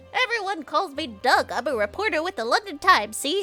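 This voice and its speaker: Clear music plays in the background as a woman does a put-on character voice. Her pitch is extremely high, swinging very widely, at a fairly quick pace. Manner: nerdy.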